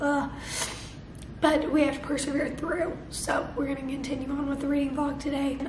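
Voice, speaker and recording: Over noticeable background noise, a woman speaks at a moderate pace with a high pitch and monotone, flat intonation. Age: young. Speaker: book vlogger. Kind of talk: casual talk to camera.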